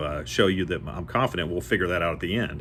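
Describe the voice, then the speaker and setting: Very fast and with vocal fry, a man talks with ordinary pitch variation. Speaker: door-to-door salesman. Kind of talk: casual educational monologue. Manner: rambling with fillers.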